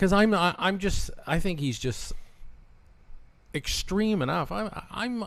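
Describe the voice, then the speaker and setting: A man speaks with a Canadian accent. His pitch swings very widely. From Canada. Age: 60s. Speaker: radio host. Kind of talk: casual chat.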